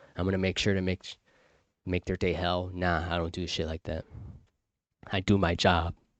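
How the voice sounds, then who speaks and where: A man with a very deep, low pitch speaks at a moderate pace with long, frequent pauses in a monotone, flat intonation. The sound is dry and close with no echo, over a quiet background. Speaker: livestream talk host. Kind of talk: casual monologue. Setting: live stream.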